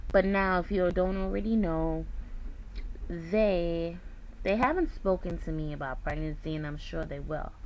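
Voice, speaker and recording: Audible room echo is heard in the clip. A woman talks at a moderate pace. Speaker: weight loss surgery vlogger. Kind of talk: casual vlog. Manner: soft-spoken.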